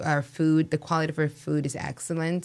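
A woman with a Spanish accent speaks in a very deep, low pitch with monotone, flat intonation, on a very clean recording with a silent background. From Mexico City. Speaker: restaurant owner. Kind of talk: interview.

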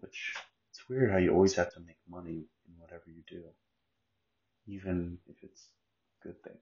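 With a very deep, low pitch, a man speaks somewhat breathily at a moderate pace, keeping fairly even intonation and leaving long, frequent pauses. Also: big swings in loudness. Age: 30s. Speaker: podcaster. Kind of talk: casual monologue.

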